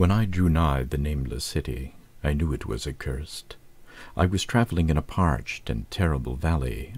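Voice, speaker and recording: This man has a very deep, low pitch. Vocal fry marks his voice. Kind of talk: audiobook-style reading of a horror story.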